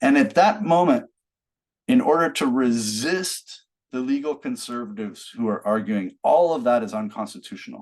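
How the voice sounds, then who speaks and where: The pace is moderate, in an American accent. Pitch swings very widely. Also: man, fairly high pitch for a man. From United States. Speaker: law professor. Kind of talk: lecture.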